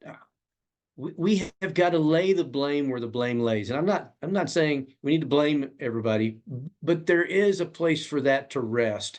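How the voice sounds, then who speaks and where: Speaking at a moderate pace, a man uses an ordinary speaking voice with a fairly high pitch. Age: 60s. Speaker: congressional candidate. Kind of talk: interview.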